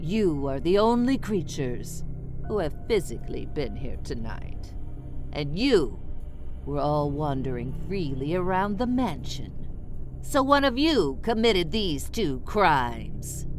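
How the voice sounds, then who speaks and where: Over loud music in the background, a put-on character voice speaks at a fairly slow pace. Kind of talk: party game narration. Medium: solo performance. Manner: playful, theatrical.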